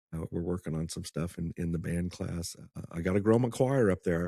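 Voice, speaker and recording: With a Midwestern American accent, a man speaks at a moderate pace in a dark, mellow tone, his very deep, low pitch showing ordinary variation, in dry, close sound with no echo. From Kansas, US. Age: 50s. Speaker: music teacher, former attorney. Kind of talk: casual podcast chat.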